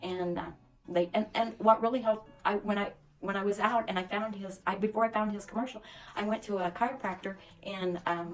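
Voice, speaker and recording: Music plays in the background as a woman speaks. She moves at a fairly quick pace with fairly even intonation. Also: medium pitch for a woman. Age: 60s. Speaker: dental patient. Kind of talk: testimonial interview.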